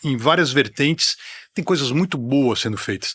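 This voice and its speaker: In an unremarkable speaking voice, the speaker moves at a moderate pace with lively intonation. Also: man. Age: 60s. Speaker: music TV presenter and metal commentator. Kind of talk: casual chat.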